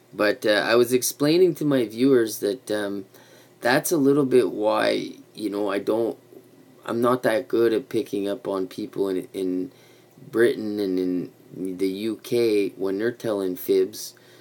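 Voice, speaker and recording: In a Quebec accent, a man with a fairly low pitch speaks at a fairly slow pace with ordinary pitch variation. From Quebec, Canada (Montreal). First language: French (bilingual). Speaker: YouTube vlogger. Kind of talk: casual livestream chat. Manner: rambling with many fillers.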